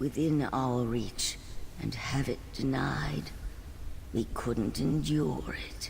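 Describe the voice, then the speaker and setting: A man puts on a character voice at a medium pitch and a very slow pace. Clear background noise is present. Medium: video game. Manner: weary, melancholy.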